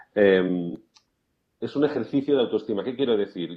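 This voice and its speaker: A man is speaking. He has a Castilian accent. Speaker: life coach. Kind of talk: interview. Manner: quiet at times; hesitant, repeats words.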